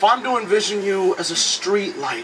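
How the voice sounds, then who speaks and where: Over music in the background, a man talks in a high voice with ordinary pitch variation. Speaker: slam poet. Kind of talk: slam poetry performance.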